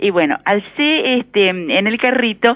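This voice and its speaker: A woman's pitch swings very widely over noticeable background noise. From Argentina, rural northern Santa Fe. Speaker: caller. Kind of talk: phone-in reminiscence. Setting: phone call.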